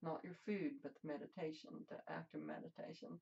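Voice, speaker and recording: This woman has a fairly low pitch and a dark, mellow tone roughened by vocal fry. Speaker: meditation teacher. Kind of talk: guided meditation. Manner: slow.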